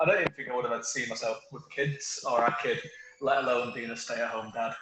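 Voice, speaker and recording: A man with a strong Manchester accent talks over noticeable background noise. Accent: Mancunian, quite strong. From northern England, Manchester. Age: 30s. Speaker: author. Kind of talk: interview. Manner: halting.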